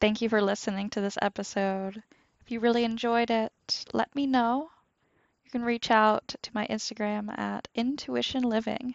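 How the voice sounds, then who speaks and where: A woman speaks in an ordinary speaking voice. Her pitch is fairly high, and her intonation stays fairly even. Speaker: podcast host. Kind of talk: guided meditation. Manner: slow, calm, soothing, with long pauses; gentle, soft-spoken.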